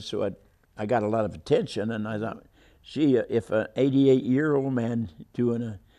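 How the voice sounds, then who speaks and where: A man with an American accent, dark and mellow in tone, at a moderate pace with fairly even intonation over a quiet background. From Kansas, grew up partly in Los Angeles area. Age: 80s+. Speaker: World War Two Navy veteran and long-distance runner. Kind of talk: interview answer. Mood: warm, reminiscing. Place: studio. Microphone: lapel.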